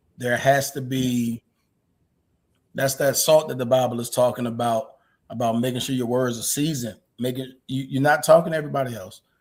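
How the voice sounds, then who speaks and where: At a fairly quick pace, a man talks at a medium pitch with fairly even intonation. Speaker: married husband sharing experience. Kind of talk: casual chat. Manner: loud.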